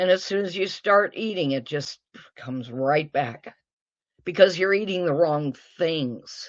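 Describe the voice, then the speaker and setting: In an American accent, a woman with an unremarkable speaking voice talks at a fairly slow pace and fairly low pitch with lively intonation. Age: 60s. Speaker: guest sharing diet success story. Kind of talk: interview testimony.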